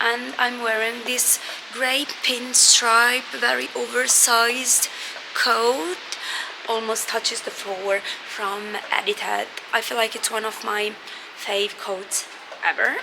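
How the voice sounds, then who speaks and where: A woman with a fairly high pitch and fairly even intonation, at a very slow pace with long, frequent pauses, over noticeable background noise. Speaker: vlogger. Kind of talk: casual vlog talk. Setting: cinema.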